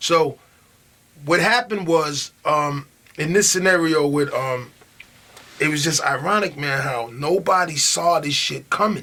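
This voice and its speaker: The voice carries a New York accent with ordinary pitch variation. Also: man. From Long Island, New York. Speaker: rapper. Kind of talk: interview. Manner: halting.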